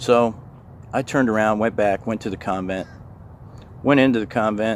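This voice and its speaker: A quiet man talks at a moderate pace. His pitch is fairly low, and his intonation fairly even. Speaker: philosophy vlogger. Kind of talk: personal storytelling monologue.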